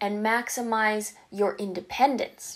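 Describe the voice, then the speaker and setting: A woman with a Canadian accent speaks in a fairly high pitch against a quiet background. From Canada. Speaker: YouTuber with a visual impairment. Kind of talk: vlog monologue. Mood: warm, encouraging. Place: home room.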